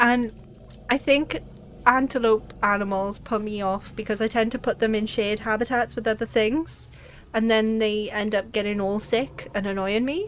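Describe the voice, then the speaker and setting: A fairly high-pitched woman with a Welsh accent at a moderate pace. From Wales. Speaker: gaming streamer. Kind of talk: live game stream chat. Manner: animated.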